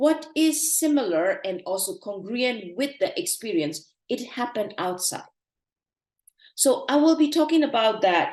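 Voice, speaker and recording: A woman's high-pitched voice in a Burmese accent, at a fairly slow pace with very wide pitch swings. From Myanmar. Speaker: meditation teacher. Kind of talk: online talk / lecture.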